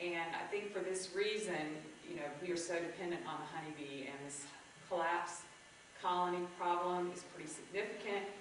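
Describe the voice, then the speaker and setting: A woman with a fairly low pitch speaks at a moderate pace and fairly even intonation, with noticeable background noise and audible room echo. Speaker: landscape designer presenter. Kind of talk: public presentation. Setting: library event room with audience. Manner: loud.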